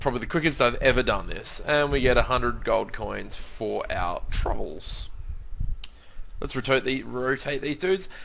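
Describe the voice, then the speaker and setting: A man with an Australian accent at a moderate pace. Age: 20s. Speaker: gaming youtuber. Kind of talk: let's play commentary. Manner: casual, hesitant with many fillers.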